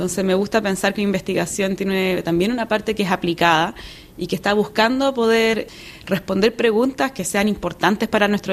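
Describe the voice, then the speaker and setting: With a Chilean accent, a woman speaks fairly quickly at a medium pitch and with ordinary pitch variation. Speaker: geologist and academic. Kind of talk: interview. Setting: on location at award event in Paris.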